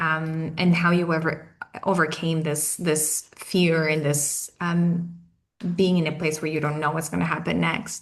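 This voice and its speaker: With a strong Portuguese accent, the speaker goes at a fairly slow pace in a monotone, flat intonation. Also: woman, very deep, low pitch for a woman. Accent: thick Portuguese. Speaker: webinar host, company CEO. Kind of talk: online panel interview.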